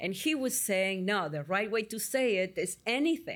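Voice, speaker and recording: A woman with an Argentine accent speaks in a very clean recording with a silent background. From Argentina, Buenos Aires. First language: Spanish. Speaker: psychotherapist. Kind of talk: interview. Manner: halting.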